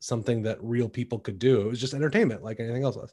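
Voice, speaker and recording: This is a man speaking with a Midwestern accent. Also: quiet background. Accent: General American (Midwest). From US Midwest, Shaker Heights, Ohio. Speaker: Broadway actor. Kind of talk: casual chat. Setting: video call.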